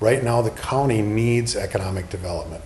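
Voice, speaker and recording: A man speaks with an American accent, with audible room echo and noticeable background noise. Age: 60s. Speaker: political candidate, retired police officer. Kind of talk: interview.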